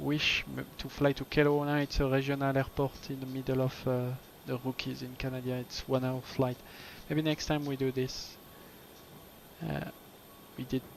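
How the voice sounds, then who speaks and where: Speaking in a French accent, a man keeps a moderate pace and a flat, monotone intonation, with long, frequent pauses. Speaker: flight sim streamer. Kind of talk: casual chat. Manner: halting.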